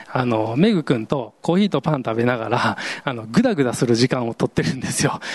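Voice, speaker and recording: A man at medium pitch talks at a moderate pace with lively intonation amid noticeable background noise. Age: 40s. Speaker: pastor. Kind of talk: sermon. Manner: casual, hesitant with fillers.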